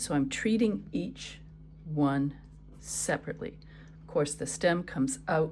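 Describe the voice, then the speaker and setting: Soft-spoken, a woman talks at a fairly slow pace. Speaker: art teacher. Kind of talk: painting tutorial. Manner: soft-spoken while thinking.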